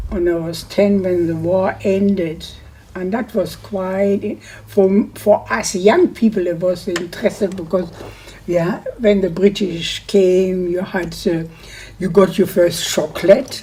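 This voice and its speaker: Noticeable background noise sits behind a woman speaking at a very slow pace, at medium pitch, with fairly even intonation. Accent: German. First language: German. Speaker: war-time childhood witness. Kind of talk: oral history interview.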